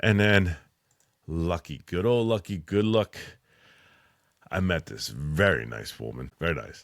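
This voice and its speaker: In a very clean recording with a silent background, a man with an American accent and a very deep, low pitch talks at a fairly slow pace in an animated tone, with very wide pitch swings, big swings in loudness, and long, frequent pauses. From Philadelphia, US. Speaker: military veteran and electrician. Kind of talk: casual podcast monologue.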